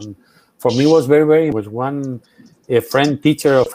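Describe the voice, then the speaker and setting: This man has a fairly high pitch, ordinary pitch variation and a Spanish accent. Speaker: journalist and memory activist. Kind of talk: Q&A after a keynote talk. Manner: halting, many fillers.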